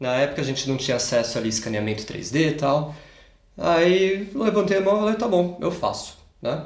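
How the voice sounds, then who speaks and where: Audible room echo surrounds a voice whose pitch swings very widely. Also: man, fairly high pitch for a man, moderate pace. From Brazil, Campinas (São Paulo state). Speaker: automotive engineer. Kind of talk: casual interview. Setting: in a home.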